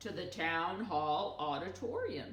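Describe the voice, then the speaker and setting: A woman's put-on character voice, fairly low in pitch, at a fairly slow pace with a slight echo. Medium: read story.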